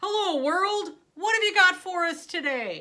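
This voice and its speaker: In a put-on character voice, a woman speaks loudly at an extremely high pitch and a fairly slow pace with a cheerful tone. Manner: cheerful, booming.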